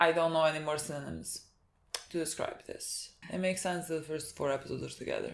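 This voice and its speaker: A woman with a non-native accent, speaking at a very fast pace. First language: not English. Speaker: anime reaction youtuber. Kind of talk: casual chat.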